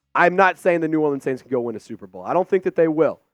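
A man speaks in an animated tone at a fairly high pitch. The sound is dry and close with no echo, and music plays in the background. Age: 20s. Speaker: sports YouTube host. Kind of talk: casual sports commentary video.

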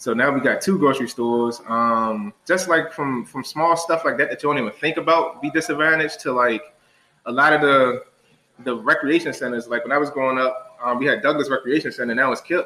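A man speaks at a fairly quick pace with an American accent and an unremarkable speaking voice. His pitch is fairly high, with ordinary variation. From Washington DC, Ward 8 (Southeast). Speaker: college friend of host. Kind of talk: casual chat. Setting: studio with camera.

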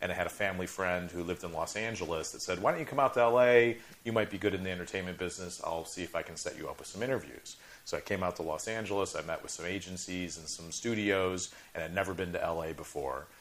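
A man with an American accent speaks very fast in a very deep, low voice. His loudness swings widely. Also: ordinary pitch variation. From Chicago suburbs. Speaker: film producer. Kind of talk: interview. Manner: halting, repeats words.

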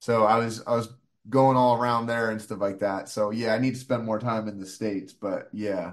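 The man talks at a moderate pace in a medium pitch. His delivery stays monotone and flat. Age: 30s. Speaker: comedian. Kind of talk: casual chat.

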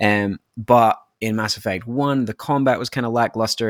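With a Scottish accent and fairly even intonation, a man speaks in a dry, close sound with no echo. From Scotland. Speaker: podcast guest, gamer. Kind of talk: casual chat.

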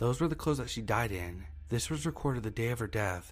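Over music in the background, a man speaks in a medium pitch with lively intonation. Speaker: horror story narrator. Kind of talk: scripted horror story narration, read aloud. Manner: grave, measured, somber.

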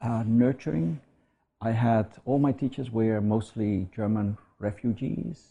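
Against a quiet background, a man speaks at medium pitch with a non-native accent and ordinary pitch variation. His tone is dark and mellow, and somewhat breathy. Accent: foreign. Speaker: academic. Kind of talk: interview. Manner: halting.

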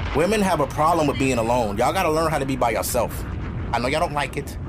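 Speaking at medium pitch, a man uses lively intonation.

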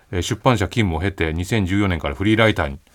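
At a very fast pace, a man with a very deep, low pitch talks with ordinary pitch variation. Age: 40s. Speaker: writer and radio host. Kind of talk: casual chat. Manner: measured, articulate.

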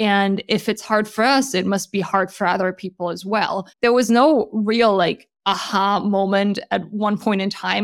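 With a German accent, a woman speaks at a moderate pace with hardly any pauses, her medium-pitched voice keeping a fairly even intonation in a very clean recording with a silent background. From Germany. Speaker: startup founder and CEO. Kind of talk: interview.

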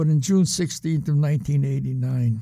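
A man's dark, mellow, somewhat breathy voice in a New England accent, with ordinary pitch variation. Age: 70s. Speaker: former card cheat. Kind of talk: interview storytelling.

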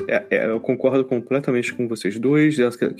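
Music plays behind a man speaking at a moderate pace. His pitch is medium and varies in an ordinary way. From Brazil, Rio de Janeiro. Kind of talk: casual chat.

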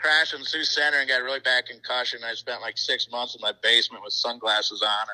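Barely pausing, a man with an American accent speaks at a very fast pace, the sound dry and close with no echo. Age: 50s. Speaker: sprint car racer. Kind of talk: casual chat.

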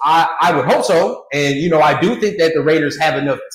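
A somewhat breathy man with an American accent and fairly high pitch talks at a fairly quick pace with ordinary pitch variation, with audible room echo. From California. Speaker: sports podcaster. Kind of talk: casual chat.

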